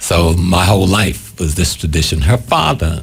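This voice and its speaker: Man with an American accent and a very deep, low pitch, ordinary pitch variation, noticeable background noise. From US South, South Carolina Gullah/Geechee area. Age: 70s. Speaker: spiritual leader and activist. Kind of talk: interview.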